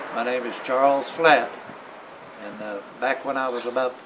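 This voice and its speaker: A man with a Tennessee accent over noticeable background noise. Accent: rural Southern US (Tennessee). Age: 60s. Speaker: local elder recalling chairmaking. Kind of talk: oral history interview. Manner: halting, many fillers.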